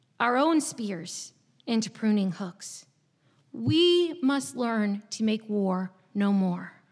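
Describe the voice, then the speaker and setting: Speaking with an American accent, a woman has a fairly high, somewhat breathy voice. She talks very slowly with very wide pitch swings. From southeast Virginia, US. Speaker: pastor. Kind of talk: sermon. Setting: church.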